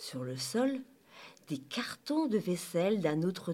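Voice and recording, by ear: Someone is reading aloud in a natural voice.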